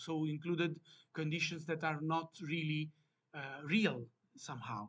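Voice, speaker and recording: Fairly high-pitched male speech in an Italian accent at a moderate pace. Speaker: academic researcher presenting a paper. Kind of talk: conference presentation. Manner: halting, many fillers.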